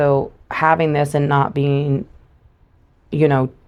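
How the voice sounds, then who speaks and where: Monotone, flat delivery from a woman with a very deep, low pitch and an American accent. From US South, Louisiana bayous. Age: 40s. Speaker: guest sharing her life story. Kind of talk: testimony. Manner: hesitant, many filler 'um's.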